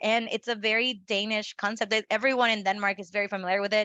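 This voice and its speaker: A woman's medium-pitched voice with a Spanish accent, a fairly quick pace and ordinary pitch variation. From Mexico, northeast. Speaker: marketing expert. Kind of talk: interview.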